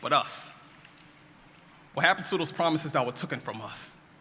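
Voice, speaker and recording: With noticeable background noise behind it, a raised, projected voice moves at a fairly quick pace with lively intonation. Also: man. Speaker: spoken word poet. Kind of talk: spoken word poetry performance. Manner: intense, rousing.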